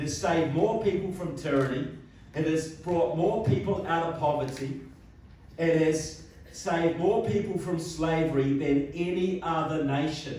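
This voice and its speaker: Speaking with a New Zealand accent at a fairly slow pace, a man has a fairly high pitch and ordinary pitch variation, with audible room echo and noticeable background noise. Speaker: political speaker. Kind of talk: public speech. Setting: hall with live audience. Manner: animated.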